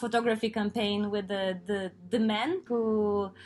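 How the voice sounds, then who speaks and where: In a Lithuanian accent, a woman speaks with a fairly high pitch. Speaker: podcast host. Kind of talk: interview.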